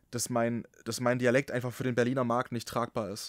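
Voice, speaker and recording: In a very clean recording with a silent background, a man talks in a relaxed tone, the sound dry and close with no echo. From Saxony, Germany. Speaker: podcast host and broadcaster. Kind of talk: casual interview chat. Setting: podcast studio.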